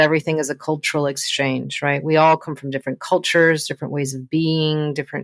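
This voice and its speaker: Here a woman talks at a moderate pace. Her pitch is fairly low. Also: dry, close sound with no echo. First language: not English. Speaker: podcast host. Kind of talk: podcast interview.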